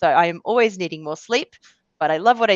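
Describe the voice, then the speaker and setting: With an Australian accent, a woman talks at a very fast pace and medium pitch, with ordinary pitch variation. The sound is dry and close with no echo, over a quiet background. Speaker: change management executive in banking. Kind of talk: webinar presentation. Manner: casual, conversational with fillers.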